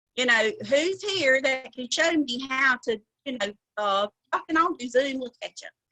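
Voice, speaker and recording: In a Southern US accent, a woman projects a raised, high-pitched voice with a bright, sharp tone and lively intonation, heard dry and close with no echo. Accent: Southern drawl. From US South. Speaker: cosmetics sales director. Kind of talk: motivational training talk. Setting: video call. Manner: animated.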